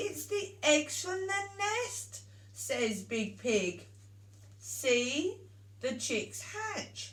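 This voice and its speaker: A woman uses a put-on character voice. She speaks at a very slow pace. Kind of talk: bedtime story. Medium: read story.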